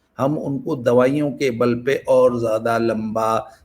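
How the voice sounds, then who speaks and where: A normal speaking voice from a man, medium-pitched, its pitch varying in an ordinary way. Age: 60s. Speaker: YouTube talk channel host. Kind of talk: casual monologue.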